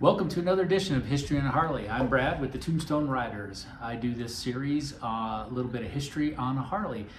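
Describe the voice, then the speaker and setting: A man talks at a very fast pace with hardly any pauses and ordinary pitch variation. Light background noise and audible room echo are present. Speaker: video host. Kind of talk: casual vlog chat. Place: home room.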